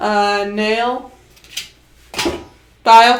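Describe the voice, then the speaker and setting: This woman speaks in a fairly high pitch with ordinary pitch variation. Noticeable background noise and audible room echo fill the recording. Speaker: streamer. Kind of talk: casual chat. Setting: home livestream. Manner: loud.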